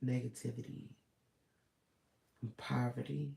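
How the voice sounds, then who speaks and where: A man's medium-pitched voice, dark, mellow and somewhat breathy, at a very slow pace. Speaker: vlogger. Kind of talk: personal vlog monologue. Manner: hesitant, filler-heavy.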